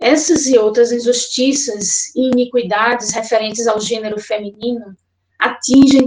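Speaking fairly slowly, a woman has a high-pitched voice. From Pernambuco, Brazil (Olinda). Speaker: social psychologist. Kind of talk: prepared statement. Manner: formal.

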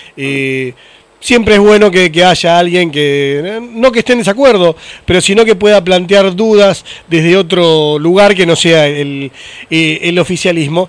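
Here a man speaks in a Rioplatense accent at a high pitch. His pace is fairly slow, with ordinary pitch variation. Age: 40s. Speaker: podcast host. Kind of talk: casual interview chat.

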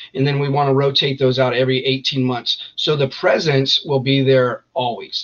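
A man with an American accent uses a normal speaking voice, fairly high in pitch, at a moderate pace. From Northern California, East Contra Costa County. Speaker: army veteran, veterans group founder. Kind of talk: interview.

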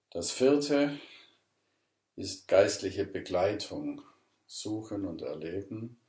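A man with a fairly low pitch and a dark, mellow, somewhat breathy tone speaks at a very slow pace with long, frequent pauses. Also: ordinary pitch variation. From southern Germany, Ravensburg (Swabia). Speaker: pastor. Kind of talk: interview. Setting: at his home.

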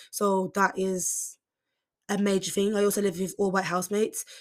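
In a Birmingham accent, the speaker talks at a fairly quick pace on a very clean recording with a silent background. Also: woman. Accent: Birmingham (Brummie) English. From Birmingham, England. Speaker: podcaster, university student. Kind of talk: casual solo podcast monologue. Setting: university accommodation room. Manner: fast talker; casual, chatty, stumbles over words.

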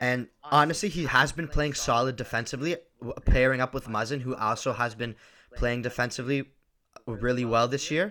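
With an Ontario accent, a man talks at medium pitch with ordinary pitch variation and a bright, sharp tone. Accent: Canadian (Ontario). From Ontario, Canada (Markham). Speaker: hockey podcast co-host. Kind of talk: casual chat.

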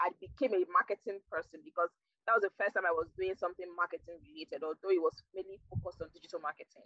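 Speaking at a very fast pace, a woman with a Nigerian accent uses lively intonation at a medium pitch. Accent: Nigerian (Yoruba) English. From southwestern Nigeria. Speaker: digital marketing professional. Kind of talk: interview. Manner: halting.

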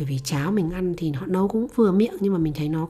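Her voice sits at a medium pitch with a dark, mellow tone. The woman's intonation is lively. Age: 30s. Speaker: podcast host. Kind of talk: personal storytelling monologue.

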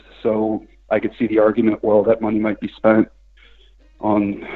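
A man's fairly low voice, in an American accent, stays monotone and flat in intonation. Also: long, frequent pauses. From Washington DC area, US. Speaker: soccer website writer. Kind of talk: phone interview.

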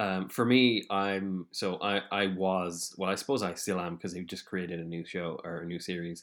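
In an Irish accent, a man with a very deep, low voice talks at a moderate pace. His intonation stays fairly even, and the recording is very clean with a silent background. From Ireland. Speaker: podcast host. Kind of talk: casual interview chat.

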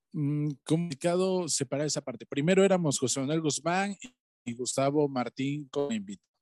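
A man talks in a normal speaking voice at a moderate pace, his pitch fairly high and its variation ordinary. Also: dry, close sound with no echo. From Valles Centrales, Oaxaca, Mexico. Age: 20s. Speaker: musician. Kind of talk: interview.

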